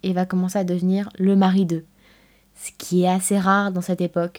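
A woman with a medium pitch and a dark, mellow tone speaks at a moderate pace. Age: 20s. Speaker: podcast host. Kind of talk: scripted narration.

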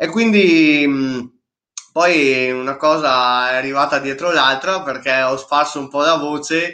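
A man's fairly high, bright, sharp voice at a very slow pace. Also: ordinary pitch variation. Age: 20s. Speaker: mountain runner. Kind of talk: casual chat.

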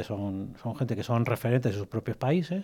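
A dark, mellow voice moves at a fairly quick pace with ordinary pitch variation on a very clean recording with a silent background. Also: man. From Spain, from infancy (born in Egypt). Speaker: cybersecurity executive. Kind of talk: radio interview. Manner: hesitant, filler-heavy.

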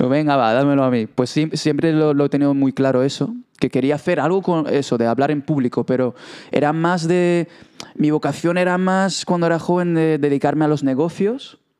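In an unremarkable speaking voice, a man talks at a fairly quick pace and fairly high pitch, with ordinary pitch variation and very even loudness. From Israel. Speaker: podcast guest, young presenter. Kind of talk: casual interview. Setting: studio.

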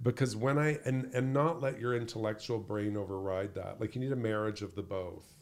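This man talks in a plain, everyday voice at a fairly quick pace, with hardly any pauses. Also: medium pitch for a man, ordinary pitch variation. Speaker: leadership speaker and author. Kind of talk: casual interview conversation.

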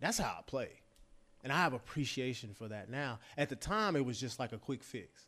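Speaking with an American accent, a man uses a bright, sharp tone at medium pitch, with lively intonation and a moderate pace, in a very clean recording with a silent background. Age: 40s. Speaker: former college quarterback and football broadcaster. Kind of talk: casual interview chat.

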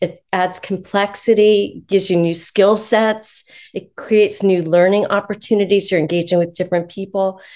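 The speech has hardly any pauses and moves at a moderate pace. Its intonation is monotone and flat. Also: woman, medium pitch for a woman. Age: 60s. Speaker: author and positive psychology professional. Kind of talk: interview conversation. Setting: video call.

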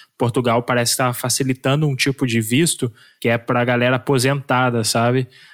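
An unremarkable speaking voice with fairly even intonation at a moderate pace. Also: man. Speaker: podcast co-host. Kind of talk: interview.

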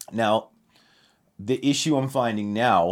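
The recording is very clean with a silent background as a man speaks with ordinary pitch variation. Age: 30s. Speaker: podcast host. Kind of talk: casual chat. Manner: animated, loud; aggressive.

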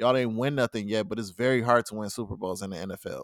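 On a very clean recording with a silent background, an ordinary speaking voice moves at a fairly quick pace with fairly even intonation. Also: man. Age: 30s. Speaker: podcast co-host. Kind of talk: casual chat.

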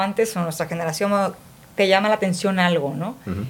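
Somewhat breathy speech from a woman at medium pitch, with ordinary pitch variation. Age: 50s. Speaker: podcast co-host. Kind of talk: casual chat. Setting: studio.

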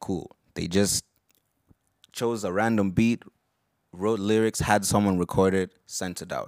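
A man's fairly low, monotone, flat voice at a fairly slow pace with long, frequent pauses, in a very clean, dry, close recording with no echo and a silent background. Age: 20s. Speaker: podcast host. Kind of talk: casual chat.

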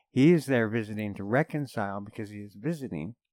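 In a normal speaking voice, a man talks at a medium pitch and moderate pace with lively intonation. The sound is dry and close with no echo, on a very clean recording with a silent background. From Canada. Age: 50s. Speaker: podcast guest. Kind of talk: casual chat.

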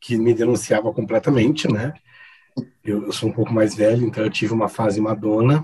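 A somewhat breathy male voice, dark and mellow, at medium pitch with fairly even intonation. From Campo Grande, Mato Grosso do Sul, Brazil. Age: 40s. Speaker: event set design business owner. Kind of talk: casual chat.

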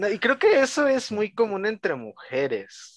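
A man with a Mexican accent speaks at a fairly slow pace. The sound is dry and close, with no echo. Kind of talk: casual chat.

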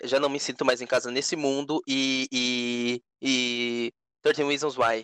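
Very slow and monotone with flat intonation, a man at medium pitch speaks in a bright, sharp tone, with a dry, close sound and no echo. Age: 20s. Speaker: podcast co-host. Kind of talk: casual chat.

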